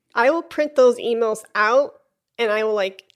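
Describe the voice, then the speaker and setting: A woman speaks with a Chicago accent. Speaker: flutist and podcast host. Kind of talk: casual interview conversation.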